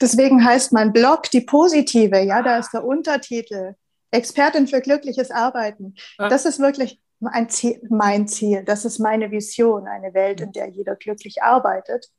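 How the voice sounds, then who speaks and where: A woman with a fairly high pitch, ordinary pitch variation and a fairly slow pace. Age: 30s. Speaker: business and transformation coach. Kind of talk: casual interview. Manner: animated.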